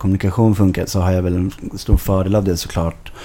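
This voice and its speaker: Noticeable background noise is present throughout. Over it, a man's intonation stays monotone and flat. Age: 20s. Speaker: football club board member. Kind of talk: podcast interview. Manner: hesitant, many fillers.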